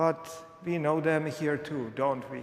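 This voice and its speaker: A man with a non-native accent and a fairly high pitch for a man is heard amid noticeable background noise and audible room echo. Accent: unmistakably foreign. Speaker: pastor. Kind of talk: sermon. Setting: church.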